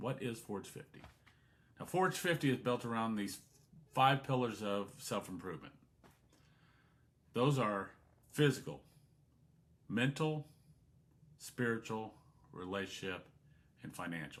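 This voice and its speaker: At a fairly slow pace, a man speaks at a medium pitch with lively intonation and big swings in loudness. He pauses often and at length. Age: 50s. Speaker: podcast host. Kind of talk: podcast monologue.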